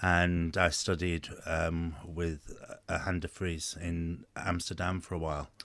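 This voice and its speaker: Speaking at a very slow pace, a man with a slight Liverpool accent uses a very deep, low pitch. His intonation is monotone and flat. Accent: slight Liverpool burr. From England, Liverpool. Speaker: former oboe player. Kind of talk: radio interview. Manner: halting.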